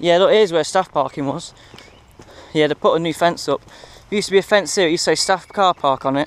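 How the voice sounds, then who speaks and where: A man talks at a very fast pace with a high pitch. His pitch varies in an ordinary way, and the sound is dry with no echo. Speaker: urban explorer vlogger. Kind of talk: casual vlog chat. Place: open country. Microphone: phone near.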